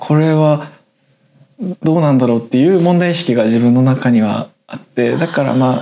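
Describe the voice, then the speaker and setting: This man has an ordinary speaking voice at a medium pitch, with ordinary pitch variation and a moderate pace. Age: 20s. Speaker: web writer and podcast co-host. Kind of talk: casual chat.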